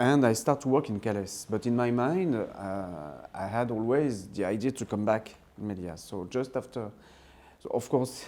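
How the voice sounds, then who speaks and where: A man with a French accent speaks at a moderate pace in a dark, mellow tone. His medium pitch shows ordinary pitch variation. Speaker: film director. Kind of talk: interview. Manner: halting, many fillers and restarts.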